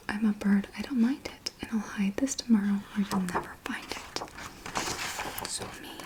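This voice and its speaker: A woman whispers with hardly any pauses and big swings in loudness, against noticeable background noise. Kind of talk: children's book reading, rhyming verse. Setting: studio, close microphone. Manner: soft-spoken, whispered.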